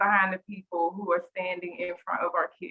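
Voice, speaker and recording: In a strong Southern US accent, a woman talks at a moderate pace. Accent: very strong Southern country twang. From US South. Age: 40s. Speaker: teacher and school coach. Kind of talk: panel introduction.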